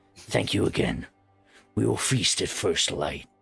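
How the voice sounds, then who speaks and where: A man puts on a raspy character voice at a fairly slow pace. Faint music plays in the background. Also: very deep, low pitch for a man. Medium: actual play. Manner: commanding.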